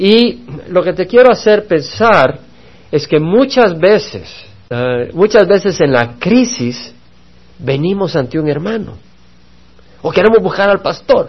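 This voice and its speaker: A man's high voice at a very slow pace, with very wide pitch swings and long, frequent pauses. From El Salvador. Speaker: pastor. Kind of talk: Bible study sermon.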